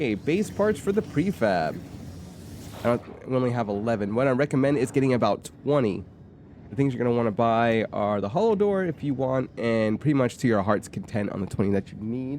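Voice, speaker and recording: This is a plain, everyday voice from a man with a medium pitch. He talks at a fairly quick pace with lively intonation. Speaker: gaming YouTuber. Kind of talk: game walkthrough commentary. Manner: casual, with self-corrections.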